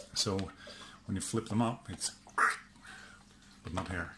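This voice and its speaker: A man's fairly low voice with fairly even intonation amid noticeable background noise. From Sweden. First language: Swedish. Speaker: outdoor gear and prepping youtuber. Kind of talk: product test video. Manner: casual, hesitant with fillers.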